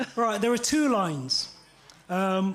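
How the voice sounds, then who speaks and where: With music playing in the background, a man talks in a high-pitched voice. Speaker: poet. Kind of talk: poetry performance with audience participation.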